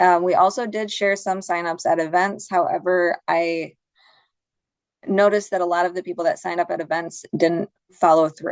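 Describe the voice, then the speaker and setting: A woman speaks at a medium pitch with fairly even intonation, in an ordinary speaking voice. The background is quiet. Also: moderate pace. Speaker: conservation program coordinator. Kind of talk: conference presentation and Q&A. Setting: online video conference.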